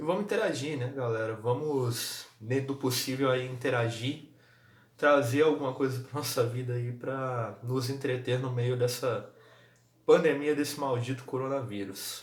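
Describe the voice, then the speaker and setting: A man speaks quietly and fairly slowly with a Brazilian accent, his voice somewhat breathy. His intonation stays fairly even, and the room echo is audible. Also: medium pitch for a man. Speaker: football vlogger. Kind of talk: casual vlog commentary. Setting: at home. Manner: speaking quietly.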